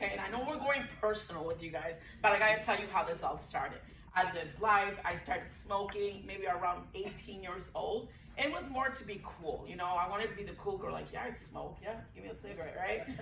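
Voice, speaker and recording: A woman at medium pitch talks at a fairly quick pace with ordinary pitch variation and big swings in loudness, against audible room echo and noticeable background noise. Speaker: breastfeeding peer counselor. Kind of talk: panel talk, personal story. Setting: event room with audience, Zoom. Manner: animated.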